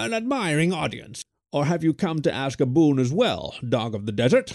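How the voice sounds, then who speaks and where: A man does a put-on character voice, croaky and fairly high. He keeps a moderate pace. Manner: lofty, mocking, grandiloquent.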